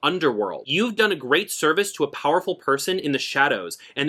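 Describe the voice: The voice uses plain reading aloud with lively intonation.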